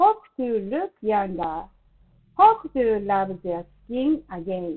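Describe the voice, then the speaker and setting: Lively intonation runs through speech delivered at a very slow pace. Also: woman, medium pitch for a woman. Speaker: beauty salon owner and skincare promoter. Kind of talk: product presentation to camera.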